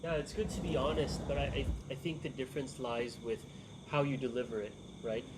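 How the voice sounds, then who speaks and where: Somewhat breathy, a man's medium-pitched voice moves at a moderate pace. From United States. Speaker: event host. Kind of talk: group discussion.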